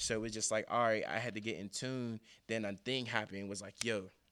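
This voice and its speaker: In a very clean recording with a silent background, a man with an ordinary speaking voice and medium pitch talks at a fairly quick pace with fairly even intonation. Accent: American. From US, east side of Pittsburgh. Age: 20s. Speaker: motivational speaker. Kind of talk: motivational speech; casual interview chat.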